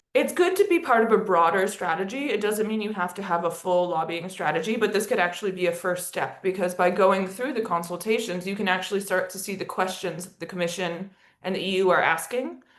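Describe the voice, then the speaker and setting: A woman with an American accent speaks at a fairly quick pace, with hardly any pauses and fairly even intonation. Noticeable background noise runs underneath. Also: medium pitch for a woman. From United States. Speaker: education and partnership lead at an advocacy organisation, webinar presenter. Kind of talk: webinar presentation. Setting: video call.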